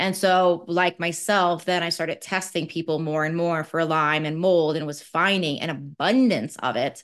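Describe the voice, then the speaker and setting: A woman with a normal speaking voice at a moderate pace, ordinary pitch variation and hardly any pauses, against a quiet background. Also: fairly low pitch for a woman. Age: 40s. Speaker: naturopathic doctor. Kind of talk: interview. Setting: video call.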